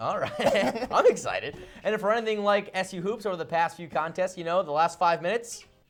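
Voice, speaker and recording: A high-pitched man with an energetic, upbeat tone, ordinary pitch variation and a fairly quick pace, music in the background. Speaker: college sports news anchor. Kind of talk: broadcast sports anchor delivery. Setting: studio. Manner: energetic, fast, upbeat.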